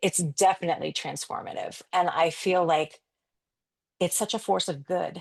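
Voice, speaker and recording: A woman speaks in a plain, everyday voice at a moderate pace, her fairly low pitch following a fairly even intonation over a quiet background. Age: 50s. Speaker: photographer and branding coach. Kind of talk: podcast interview.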